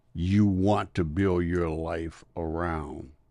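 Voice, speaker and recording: Speaking at a very slow pace with an American accent, a man uses a very deep, low voice and fairly even intonation. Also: quiet background. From US South. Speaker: retired school superintendent and former basketball referee. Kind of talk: interview.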